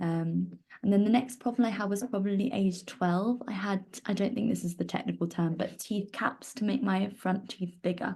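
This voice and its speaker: Her tone is dark and mellow, somewhat breathy, at a medium pitch. A woman with a southern English accent talks at a moderate pace. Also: fairly even intonation. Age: 20s. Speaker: volunteer sharing lived experience of cleft. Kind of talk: personal testimony. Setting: online live stream. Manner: hesitant with frequent fillers.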